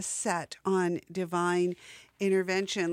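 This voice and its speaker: A woman of medium pitch talks at a very slow pace on a very clean recording with a silent background. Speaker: radio host. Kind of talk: radio DJ patter between music sets, plugging festival and station. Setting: community radio studio broadcast. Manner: relaxed, chatty, conversational with filler 'uh' and 'um', playful wordplay.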